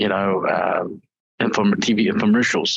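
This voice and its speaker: With a New Zealand accent, a man speaks at a fairly low pitch. His moderate pace carries monotone, flat intonation. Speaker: IT executive. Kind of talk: interview. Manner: hesitant, many fillers.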